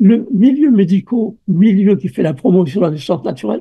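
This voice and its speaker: A man speaks at a high pitch with a dark, mellow tone. His pace is moderate. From France. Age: 80s+. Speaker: obstetrician and birth researcher. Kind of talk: interview. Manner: halting, with many repetitions.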